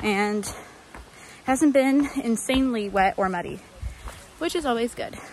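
A woman with a high pitch speaks at a fairly slow pace, the sound dry with no echo and light background noise behind her. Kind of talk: casual vlog chat. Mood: cheerful, relaxed. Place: forest. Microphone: phone near.

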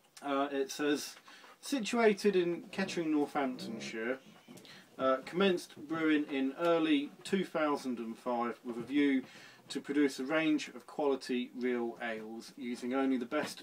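A man speaks fairly slowly, his pitch varying an ordinary amount, with light noise behind him. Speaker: home brewer reviewing beer. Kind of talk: casual vlog chat. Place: home room. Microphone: phone near.

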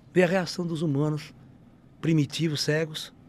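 The man's pitch is high. The sound is dry with no echo. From Brazil. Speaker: ufologist and spiritualist speaker; speaker. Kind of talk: casual interview storytelling. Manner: animated. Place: studio. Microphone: studio mic.

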